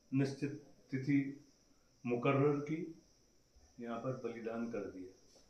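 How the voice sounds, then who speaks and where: In a room with audible echo, a man speaks with a dark, mellow tone at a fairly high pitch. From Uttarakhand, Kumaon (Ranikhet area). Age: 70s. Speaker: temple committee head. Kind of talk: storytelling on temple history.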